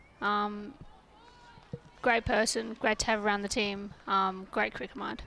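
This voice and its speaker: Fairly slow speech from a woman with an Australian accent, medium in pitch, with fairly even intonation. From Australia, Perth. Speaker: local cricketer, guest commentator. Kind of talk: live commentary.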